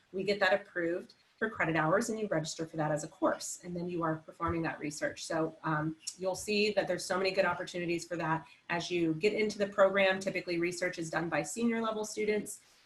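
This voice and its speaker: A woman talks very fast in a fairly low pitch. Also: ordinary pitch variation. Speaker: academic advisor. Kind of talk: information session presentation. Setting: virtual online session.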